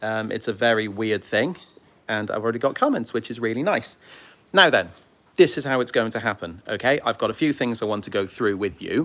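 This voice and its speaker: With a British accent, a man talks at a fairly quick pace with ordinary pitch variation. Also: medium pitch for a man. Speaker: model railway YouTuber and heritage railway volunteer. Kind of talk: livestream casual chat. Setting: outdoors on a railway platform. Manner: fast; hesitant with many ums.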